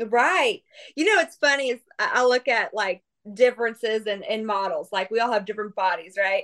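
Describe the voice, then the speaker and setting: Lively in intonation, a woman with an American accent talks at a moderate pace and fairly high pitch in a plain, everyday voice. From Kansas, US. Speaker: model and content creator. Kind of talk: casual chat.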